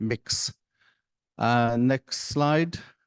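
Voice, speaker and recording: Against a quiet background, a man is heard in dry, close sound with no echo. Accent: Irish. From Ireland. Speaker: panel moderator. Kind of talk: conference panel moderation. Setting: conference side event with audience.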